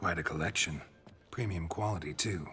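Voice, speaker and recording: Using a put-on character voice, a man pitches his speech very deep and low. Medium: video game. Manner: terse, dry.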